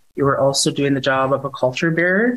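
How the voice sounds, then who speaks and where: A woman's very deep, low-pitched voice. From Southeast Alaska (Tlingit village). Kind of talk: casual chat.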